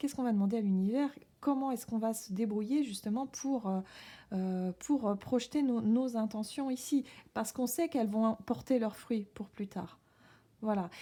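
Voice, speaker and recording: A somewhat breathy woman's voice, fairly high in pitch with a dark, mellow tone, ordinary pitch variation, big swings in loudness and a moderate pace, on a very clean recording with a silent background. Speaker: tarot reader. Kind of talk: tarot reading. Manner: halting, many hesitations.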